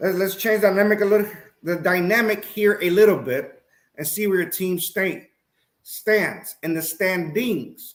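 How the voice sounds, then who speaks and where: Speaking at a fairly slow pace, a man with a high pitch shows ordinary pitch variation. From Puerto Rico. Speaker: sports talk show host. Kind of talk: live-stream sports talk. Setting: live stream. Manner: halting, tongue-tied.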